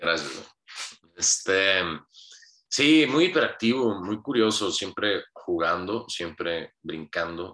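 Fairly low in pitch with a bright, sharp tone, a man speaks at a very slow pace with lively intonation. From Hermosillo, Sonora, Mexico. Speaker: podcast guest telling life story. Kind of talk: casual interview.

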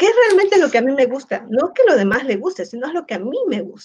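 This woman's pitch swings very widely. She speaks at a fairly quick pace. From Peru. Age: 50s. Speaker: educator. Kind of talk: casual interview. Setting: online livestream.

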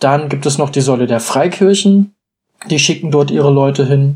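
This man talks at a moderate pace in a dark, mellow tone, with ordinary pitch variation. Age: 20s. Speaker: church youth delegate. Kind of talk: casual chat.

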